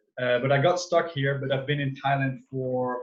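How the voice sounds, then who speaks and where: Talking at a fairly quick pace, a man with a Dutch accent speaks at a medium pitch. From Netherlands. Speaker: wellness coach. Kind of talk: online talk to a group. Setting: video call.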